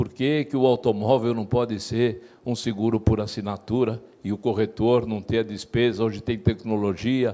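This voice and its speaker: A man's dark, mellow tone at medium pitch, with fairly even intonation and a moderate pace. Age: 60s. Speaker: insurance brokers' union president. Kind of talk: panel discussion. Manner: halting.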